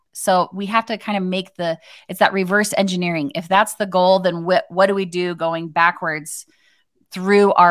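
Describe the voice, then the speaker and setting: A woman in a normal speaking voice with an American accent, fairly low pitch, moderate pace, very clean recording and silent background. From Arizona. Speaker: social media marketing expert. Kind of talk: casual chat.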